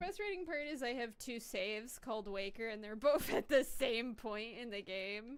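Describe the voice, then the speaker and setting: Her pitch fairly high and her intonation lively, a woman talks at a fairly slow pace. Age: adult. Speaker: VTuber game streamer. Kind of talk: casual live-stream chat. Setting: home room with door closed. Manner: loud.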